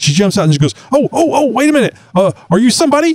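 A man's dark, mellow tone with a Texan accent. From Texas. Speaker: podcast host. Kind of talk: casual chat.

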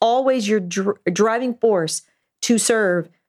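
A woman with a normal speaking voice, fairly high pitch, ordinary pitch variation and a fairly slow pace, in a very clean recording over a silent background. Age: 50s. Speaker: pastor. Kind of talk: casual chat.

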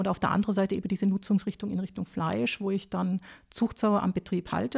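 With ordinary pitch variation, the talking races along at a very fast pace. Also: woman, dry, close sound with no echo. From southern Germany, near Lake Constance (Baden-Württemberg). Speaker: agricultural advisor on pig farming. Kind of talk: expert interview. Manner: many hesitation fillers.

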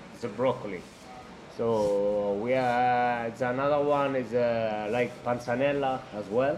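A man with an Italian accent speaks at a medium pitch and a fairly slow pace, with fairly even intonation, audible room echo and noticeable background noise. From Italy, Albano Laziale near Rome. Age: 30s. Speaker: chef. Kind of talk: interview conversation. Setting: trattoria. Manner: halting.

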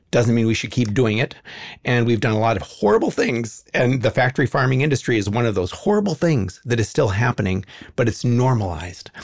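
A very fast, somewhat breathy man's voice with an American accent, at very even loudness, on a very clean recording with a silent background. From Los Angeles, California. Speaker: animal advocacy founder. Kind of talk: interview conversation.

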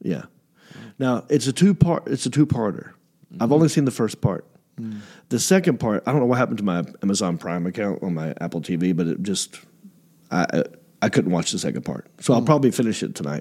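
Talking at a very fast pace, a man with a fairly low pitch, a dark, mellow tone and vocal fry makes very wide pitch swings. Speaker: comedian and podcast host. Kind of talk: casual chat.

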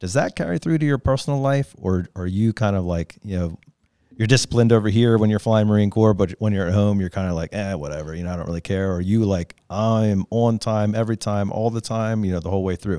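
A man speaks at a very fast pace and a fairly low pitch, with ordinary pitch variation. The sound is dry and close, with no echo and a silent background on a very clean recording. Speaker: podcast host. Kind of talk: casual interview.

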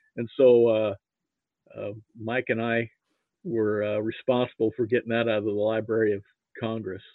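A man speaks at a moderate pace in a fairly low voice with little pitch movement. The sound is dry and close, with no echo.

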